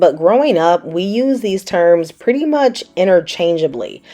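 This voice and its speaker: A woman with a Southern US accent speaks fairly slowly in a dark, mellow tone with lively intonation. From US South. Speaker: cooking channel host. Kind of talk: cooking tutorial. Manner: casual, chatty.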